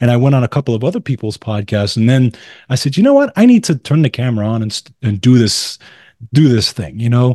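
Very fast, a man talks with a dark, mellow tone at medium pitch and ordinary pitch variation, the sound dry and close with no echo over a quiet background. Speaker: musician and wellness podcaster. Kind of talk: casual chat.

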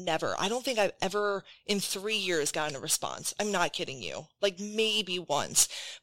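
A woman's medium-pitched voice, bright and sharp in tone, at a moderate pace with ordinary pitch variation. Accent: Wisconsin. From Wisconsin. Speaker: podcast host. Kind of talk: casual chat podcast.

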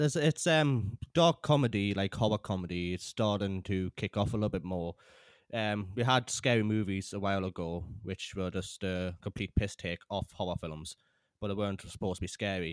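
A moderate-paced voice with a British accent and ordinary pitch variation, dry and close with no echo, on a very clean recording with a silent background. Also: man, fairly low pitch for a man. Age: 20s. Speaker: podcast host and filmmaker. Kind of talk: interview. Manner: halting.

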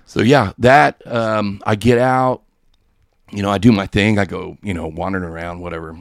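A fairly low-pitched man at a moderate pace, with ordinary pitch variation and big swings in loudness, on a very clean recording with a silent background. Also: dry, close sound with no echo. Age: 40s. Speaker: online radio station runner. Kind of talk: casual chat. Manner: animated.

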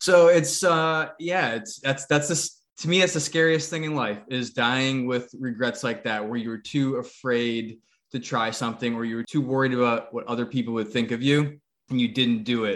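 A man with an American accent has an ordinary speaking voice at a medium pitch and a moderate pace. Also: ordinary pitch variation. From New England, US. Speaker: podcast co-host. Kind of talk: casual interview chat.

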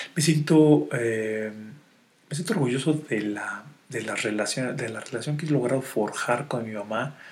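A Mexican accent at a moderate pace, with ordinary pitch variation and audible room echo. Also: man. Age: 40s. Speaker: wealth and life coach. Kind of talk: podcast monologue. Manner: halting with many fillers.

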